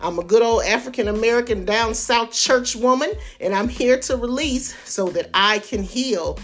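A woman's voice with ordinary pitch variation, music in the background. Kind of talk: intro.

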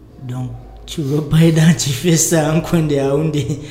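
Spoken at a fairly slow pace in a flat monotone, the voice carries audible room echo over noticeable background noise. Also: man. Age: 20s. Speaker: merchant sailor. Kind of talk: casual chat.

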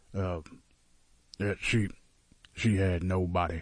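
A man with a fairly low pitch sounds somewhat breathy. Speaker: radio host. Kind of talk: casual banter. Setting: studio.

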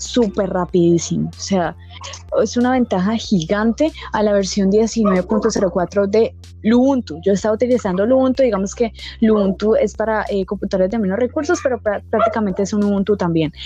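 With noticeable background noise behind her, a woman talks at a moderate pace in a medium pitch, her pitch varying in an ordinary way. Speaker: tech community podcast host. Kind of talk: casual interview.

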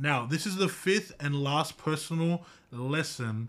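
In a very clean recording with a silent background, a man with a fairly high pitch sounds animated, his intonation lively. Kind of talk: pep talk. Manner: animated, emphatic, motivational, rallying the listeners; direct, repeatedly addressing the audience.

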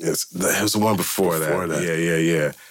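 A man speaks with an American accent and a very deep, low pitch. His voice carries vocal fry and ordinary pitch variation. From US West Coast, Milpitas in the South Bay. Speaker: hip-hop producer. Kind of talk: casual interview.

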